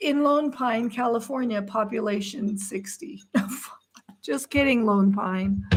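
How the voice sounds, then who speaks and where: A woman's plain, everyday voice, fairly high in pitch, fairly slow, with ordinary pitch variation. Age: 60s. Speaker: livestream co-host. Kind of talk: casual chat.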